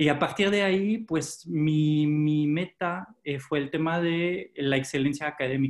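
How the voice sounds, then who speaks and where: This man speaks with a French accent. His pitch is fairly high. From France. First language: French (speaking Spanish). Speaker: former hotel manager, education advisor. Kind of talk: interview.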